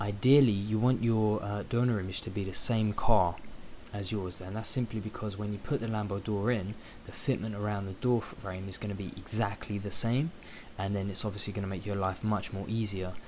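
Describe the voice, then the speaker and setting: A man talks quietly at a fairly quick pace, in a British accent. His pitch is fairly low and his intonation fairly even. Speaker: photo editing tutorial creator. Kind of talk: tutorial. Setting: at home late at night.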